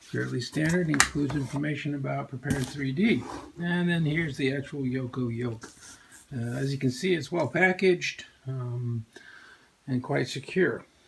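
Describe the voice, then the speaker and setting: Background noise is noticeable as the speaker goes at a moderate pace with ordinary pitch variation. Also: man, fairly high pitch for a man. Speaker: flight sim hobbyist reviewer. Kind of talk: product unboxing tutorial. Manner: halting, many fillers.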